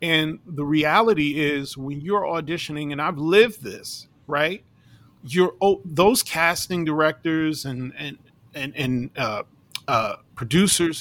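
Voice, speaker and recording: A man with an American accent has an ordinary speaking voice, fairly high in pitch, with ordinary pitch variation. He talks at a fairly slow pace, and his loudness swings widely. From New York City. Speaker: circus ringmaster and performer. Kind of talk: casual interview chat.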